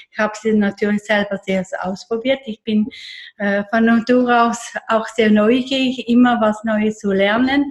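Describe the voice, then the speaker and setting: A woman's fairly high, somewhat breathy voice, fairly slow in pace and fairly even in intonation. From eastern Switzerland, near Lake Constance. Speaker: therapist. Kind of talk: casual interview.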